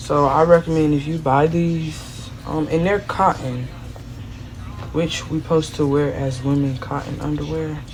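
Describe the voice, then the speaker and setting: A woman speaks quietly with a very deep, low pitch and fairly even intonation. Room echo is audible along with noticeable background noise. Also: fairly slow pace. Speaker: vlogger. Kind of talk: casual vlog unboxing.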